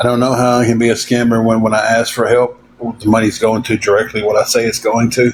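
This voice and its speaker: There is noticeable background noise behind this man. He talks fairly quickly at a medium pitch with a Tennessee accent. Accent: Southern US (Tennessee). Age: 40s. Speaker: livestreamer asking for donations. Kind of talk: casual livestream chat.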